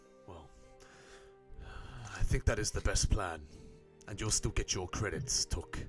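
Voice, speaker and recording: Using a put-on character voice at a fairly low pitch, a man talks at a moderate pace with long, frequent pauses while clear music plays in the background. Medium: actual play. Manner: formal, measured.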